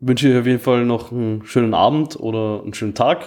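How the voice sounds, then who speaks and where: This man has an ordinary speaking voice, talking at a moderate pace with fairly even intonation. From Austria, migrant family. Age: 30s. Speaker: podcast co-host. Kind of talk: casual chat.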